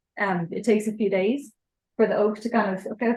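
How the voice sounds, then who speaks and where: A woman with an Irish accent speaks at a fairly quick pace and medium pitch, her intonation fairly even. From Ireland. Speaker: experimental archaeologist presenting a ship reconstruction project. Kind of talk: conference presentation with Q&A. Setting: presentation to an audience at an open-air museum event.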